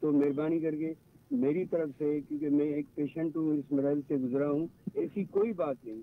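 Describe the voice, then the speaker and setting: A man with a normal speaking voice. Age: 60s. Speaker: caller. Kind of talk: phone-in question. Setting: phone call.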